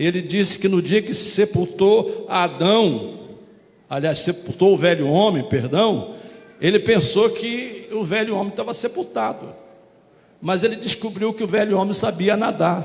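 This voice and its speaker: Speaking at a fairly slow pace, the man has a high pitch. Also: ordinary pitch variation. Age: 70s. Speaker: pastor. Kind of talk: sermon.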